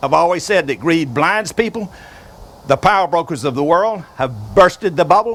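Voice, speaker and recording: Lively in intonation, a man with a Southern US accent speaks at a moderate pace and a high pitch. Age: 70s. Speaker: inventor. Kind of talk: video address.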